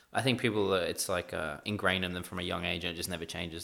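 A man with an Australian accent at a very fast pace, with a very deep, low pitch, a bright, sharp tone and fairly even intonation. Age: 20s. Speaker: esports team manager. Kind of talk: casual chat.

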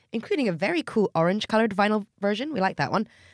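A woman with an Australian accent speaks in a fairly high voice with very wide pitch swings. The recording is very clean, with a silent background. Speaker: podcast host. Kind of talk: interview.

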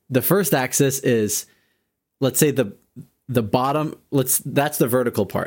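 A plain, everyday voice, ordinary in its pitch variation and moderate in pace, captured in a very clean recording against total silence. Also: man. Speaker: podcast host. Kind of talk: casual chat.

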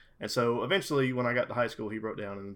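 A man's medium-pitched, normal speaking voice with an American accent and fairly even intonation, on a very clean recording with a silent background. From US South, South Carolina. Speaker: gamer, liquor sales rep. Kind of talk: casual chat.

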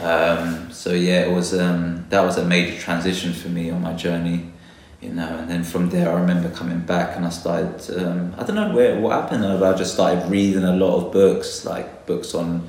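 A man's very deep, low voice in a London accent, monotone and flat, with noticeable background noise and audible room echo. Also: moderate pace, hardly any pauses. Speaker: botanist. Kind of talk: interview.

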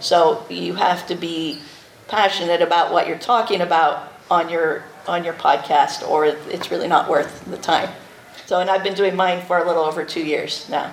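A woman's fairly low voice at a moderate pace, fairly even in intonation, with noticeable background noise and audible room echo. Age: 40s. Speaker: podcast host. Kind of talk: convention panel talk.

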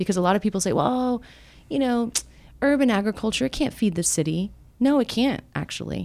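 A woman with an American accent talks at a fairly quick pace in a fairly high pitch, with lively intonation. Hers is a plain, everyday voice. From Miami, Florida. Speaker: nonprofit executive director. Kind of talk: interview. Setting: office.

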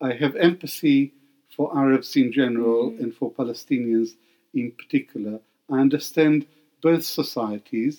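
This man's voice sits at a medium pitch with a dark, mellow tone. His pitch variation is ordinary. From Baghdad, Iraq. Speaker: historian and professor emeritus. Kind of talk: interview. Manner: slow.

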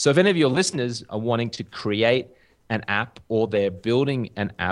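The voice carries an Australian accent. It moves at a moderate pace. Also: man. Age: 30s. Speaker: journalist and TV presenter. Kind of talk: casual interview chat. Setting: video call.

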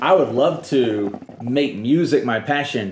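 A man at medium pitch with an American accent. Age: 30s. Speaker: podcast host. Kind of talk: casual interview; podcast outro. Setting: home, in person.

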